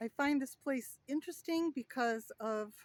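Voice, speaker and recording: Loud speech at a very slow pace. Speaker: travel vlogger. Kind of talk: casual vlog walkthrough. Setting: outdoors. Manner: loud outdoor voice; casual with fillers.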